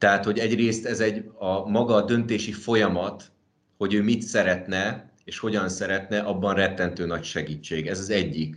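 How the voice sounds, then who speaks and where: A man's fairly low-pitched voice at a moderate pace with fairly even intonation. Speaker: managing partner of a design and construction firm. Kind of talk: interview. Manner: halting, many fillers.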